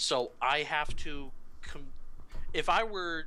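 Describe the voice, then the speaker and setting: A man's bright, sharp tone carries ordinary pitch variation. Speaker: flight instructor in a video game tutorial. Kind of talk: tutorial. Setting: Skype call. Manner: stutters at times.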